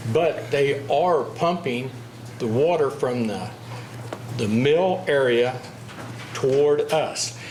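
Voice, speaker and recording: Over noticeable background noise and audible room echo, the speech comes very slowly with long, frequent pauses and ordinary pitch variation. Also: man, medium pitch for a man. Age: 70s. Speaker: local resident speaking at meeting. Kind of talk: public comment. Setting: city commission meeting.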